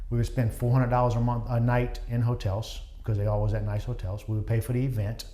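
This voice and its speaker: The man's fairly quick speech carries audible echo from the room. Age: 50s. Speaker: real estate investor and co-host. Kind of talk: casual podcast chat about investing.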